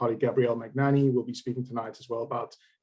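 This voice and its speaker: A man speaks with a South African accent. His pitch sits in the medium range. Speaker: managing director of a tax reclaim firm. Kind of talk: business presentation.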